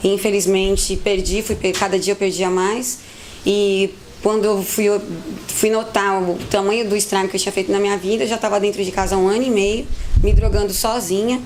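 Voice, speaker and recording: Over noticeable background noise, a woman speaks fairly quickly with a monotone, flat intonation. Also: medium pitch for a woman. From Brazil, São Paulo city. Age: 30s. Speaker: recovered addict, volunteer. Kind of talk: testimony.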